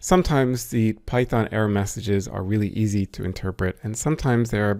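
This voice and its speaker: In a plain, everyday voice, a man speaks at a moderate pace and medium pitch with ordinary pitch variation. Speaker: programming and math instructor. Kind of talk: tutorial. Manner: casual, conversational.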